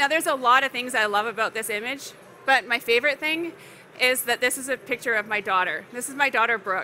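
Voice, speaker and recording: A high-pitched woman with a western Canadian accent and ordinary pitch variation, fairly quick, over light background noise. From Canada, Alberta (Calgary); Alberta. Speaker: landscape and astrophotographer; presenter. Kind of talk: presentation to an audience. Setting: stage at a trade expo with audience. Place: hall. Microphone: headset.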